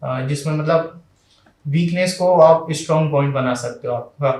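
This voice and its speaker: This man has a fairly high pitch, a somewhat breathy voice and ordinary pitch variation. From Madhya Pradesh, India. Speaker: civil services exam topper. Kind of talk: interview. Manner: hesitant fillers.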